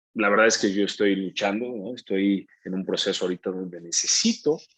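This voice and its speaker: A fairly low-pitched male voice with ordinary pitch variation. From Brazil. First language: Portuguese (speaking Spanish). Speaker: actor. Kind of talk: interview.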